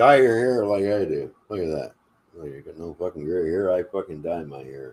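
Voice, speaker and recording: A man's very deep, low voice at a moderate pace, with lively intonation and big swings in loudness. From Canada (Ontario). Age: 60s. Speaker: live stream host. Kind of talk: casual chat. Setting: live stream.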